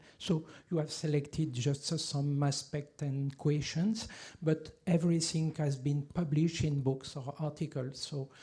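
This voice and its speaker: A man speaks in a French accent with a dark, mellow tone and a fairly high pitch. He is somewhat breathy, his intonation fairly even, his pace fairly slow. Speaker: archaeologist. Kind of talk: lecture. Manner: halting, many fillers and restarts.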